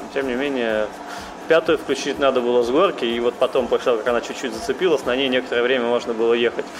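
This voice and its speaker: Talking at a very fast pace with fairly even intonation, a man at medium pitch is heard over noticeable background noise. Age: 30s. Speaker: rally driver. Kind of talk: interview. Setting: cafe.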